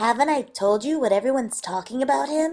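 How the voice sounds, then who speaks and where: Putting on a character voice, a woman speaks very fast in a high pitch while faint music plays in the background. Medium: short film. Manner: chiding.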